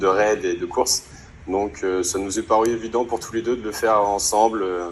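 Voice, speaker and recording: There is noticeable background noise as a man talks in a fairly low, monotone, flat voice. His pace is moderate. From Normandy, France (Alençon). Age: 20s. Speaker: rally participant. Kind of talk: interview. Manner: hesitant, many fillers.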